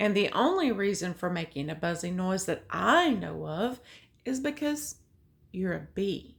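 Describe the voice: Plain reading aloud.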